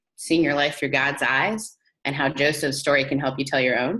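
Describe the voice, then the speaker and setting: The voice belongs to a woman with a very deep, low pitch. Her tone is bright and sharp. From Canada. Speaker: pastor and author. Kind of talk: interview.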